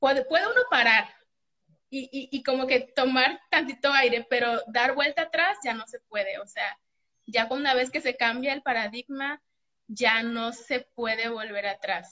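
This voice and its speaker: A woman with a Mexican accent speaks in a high, bright and sharp voice, raised and projected, at a fairly slow pace with ordinary pitch variation. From Mexico. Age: 30s. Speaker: eating disorder recovery client. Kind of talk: testimony.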